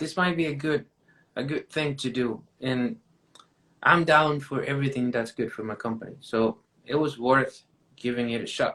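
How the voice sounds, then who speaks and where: Talking at a moderate pace with long, frequent pauses, a man with a Mexican accent has a fairly high pitch, ordinary pitch variation and a bright, sharp tone. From Mexico. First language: Spanish. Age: 20s. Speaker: painting contractor. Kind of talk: casual interview chat.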